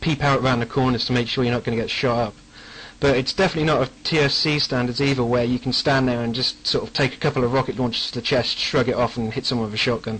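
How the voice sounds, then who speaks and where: A man speaks very fast in an English accent. His pitch varies an ordinary amount. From England. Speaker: game mod developer. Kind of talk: radio interview. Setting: internet radio show.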